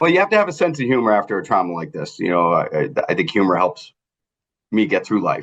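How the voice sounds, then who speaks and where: A very fast-talking man with a Boston accent against a quiet background. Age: 50s. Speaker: trauma survivor. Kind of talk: interview testimony. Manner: halting, many fillers.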